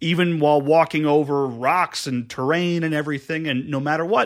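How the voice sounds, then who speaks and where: The recording has a quiet background and a man with a normal speaking voice. He talks at a fairly quick pace, fairly high in pitch, with fairly even intonation. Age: 20s. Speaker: podcast guest. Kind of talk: casual chat. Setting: studio.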